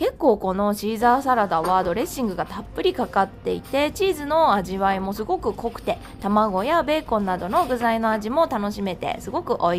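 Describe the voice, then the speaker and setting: Against music in the background, a woman with a fairly high pitch speaks at a moderate pace, her pitch swinging very widely. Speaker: freelance announcer. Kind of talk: food vlog narration.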